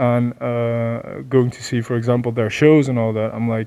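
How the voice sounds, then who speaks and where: Here a man speaks at a fairly quick pace. His tone is dark and mellow. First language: not English. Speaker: metal band member. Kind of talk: interview.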